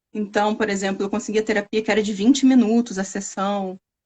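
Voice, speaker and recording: A somewhat breathy woman in an interior Rio de Janeiro accent, fairly high in pitch, monotone and flat, at a moderate pace. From Brazil, interior of Rio de Janeiro state. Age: 30s. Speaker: scientist. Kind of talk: interview testimony. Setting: live stream.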